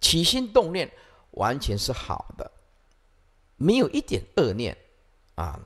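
A man talking at a very slow pace with long, frequent pauses, over a quiet background. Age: 50s. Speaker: Buddhist monk teacher. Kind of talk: dharma lecture. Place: hall. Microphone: podium.

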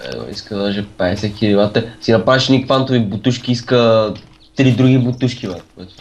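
An ordinary speaking voice from a man, medium in pitch, with fairly even intonation at a moderate pace. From Bulgaria. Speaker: gamer. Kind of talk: casual chat.

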